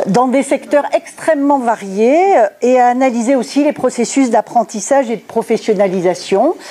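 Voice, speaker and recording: Over noticeable background noise, a woman speaks fairly slowly at a high pitch, her voice swinging very widely in pitch. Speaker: sociologist giving a conference talk. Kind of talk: lecture. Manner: hesitant, many filler sounds.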